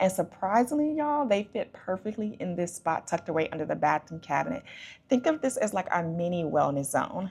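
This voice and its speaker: A woman with an American accent talks at a fairly quick pace, medium in pitch and somewhat breathy, with very wide pitch swings. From Chicago, US Midwest. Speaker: home DIY vlogger. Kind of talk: scripted voiceover narration.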